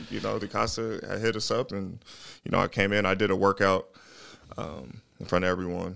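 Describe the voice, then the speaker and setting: On a very clean recording with a silent background, a man talks at a fairly quick pace in a fairly low voice with vocal fry, a bright, sharp tone and fairly even intonation. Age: 30s. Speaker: professional football player. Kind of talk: casual interview.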